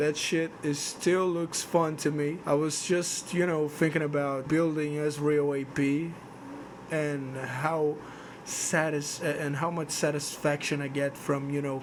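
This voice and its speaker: In a non-native accent, a man speaks at a fairly slow pace with a fairly high pitch and monotone, flat intonation, with audible room echo. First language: not English. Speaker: gaming video creator. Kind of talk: casual monologue vlog. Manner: halting, repeats words. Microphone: cheap microphone, poor noise suppression.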